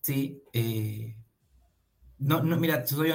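A man's voice is somewhat breathy, and his intonation is lively. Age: 30s. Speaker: marketing agency founder. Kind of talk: radio interview.

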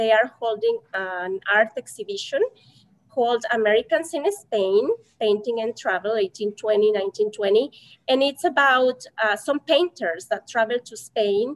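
In a Mexican accent, a woman talks fairly slowly in a fairly high pitch with ordinary pitch variation, recorded dry and close with no echo. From Mexico. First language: Spanish. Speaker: Spanish teacher. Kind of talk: casual interview.

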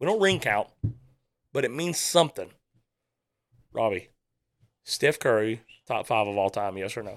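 A man speaks in an animated tone with very wide pitch swings at a moderate pace, pausing long and often. The recording is very clean, with a silent background. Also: medium pitch for a man. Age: 30s. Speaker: podcast host. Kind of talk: casual chat. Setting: studio.

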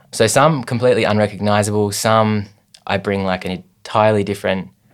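Someone with an Australian accent talks at a fairly quick pace in a very clean recording with a silent background. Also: man. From Tasmania, Australia (Hobart). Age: 20s. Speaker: visual artist. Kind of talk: casual interview.

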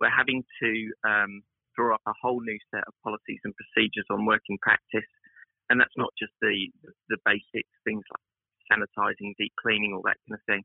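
A man talks at a fairly quick pace, with long, frequent pauses. His loudness swings widely. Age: 50s. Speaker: salon director. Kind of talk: interview. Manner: halting.

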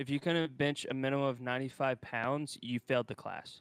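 In an ordinary speaking voice, a man talks at a moderate pace with fairly high pitch, the sound dry and close with no echo. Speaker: co-host. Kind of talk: casual chat.

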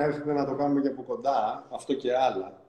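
Fairly quick, fairly high-pitched speech from a man. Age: 50s. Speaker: NLP coach. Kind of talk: interview. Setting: Instagram live video call.

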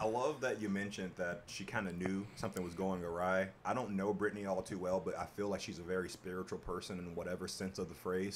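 A man with an American accent, a very deep, low pitch, fairly even intonation and a very fast pace. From Chicago area, US Midwest. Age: 30s. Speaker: podcast host. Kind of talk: casual chat.

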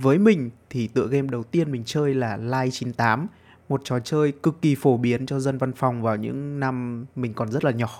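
A man with a plain, everyday voice and a medium pitch speaks at a fairly slow pace with ordinary pitch variation and hardly any pauses, on a very clean recording with a silent background. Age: 20s. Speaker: podcaster. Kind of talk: casual monologue.

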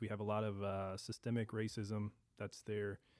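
A man with a St. Louis accent speaks at a moderate pace and fairly low pitch in a very clean recording with a silent background. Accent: St. Louis American English. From Saint Louis, Missouri. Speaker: food reviewer. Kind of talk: casual chat.

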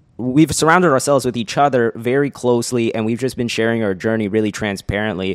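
A medium-pitched man with an unremarkable speaking voice and ordinary pitch variation, on a very clean recording with a silent background. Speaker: podcast co-host, entrepreneur. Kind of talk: casual chat.

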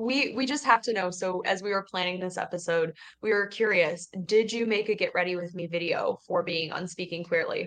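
In a normal speaking voice, a woman talks at a medium pitch and fairly quick pace, with ordinary pitch variation and hardly any pauses. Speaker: podcast co-host, youth center staff. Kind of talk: casual chat.

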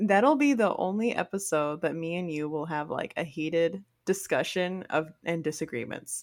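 A woman with a fairly low pitch, ordinary pitch variation, hardly any pauses and a normal speaking voice. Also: moderate pace. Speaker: podcast co-host. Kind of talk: casual chat.

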